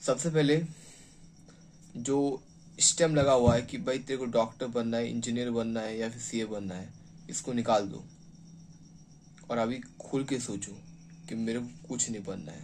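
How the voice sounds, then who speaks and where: A man speaks at a medium pitch with ordinary pitch variation. His loudness swings widely, and he leaves long, frequent pauses. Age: 20s. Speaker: motivational speaker. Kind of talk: motivational talk. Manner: halting.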